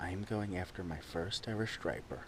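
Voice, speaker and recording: A man is talking, and noticeable background noise can be heard too. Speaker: fishing vlogger. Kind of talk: vlog narration. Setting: outdoors on a beach.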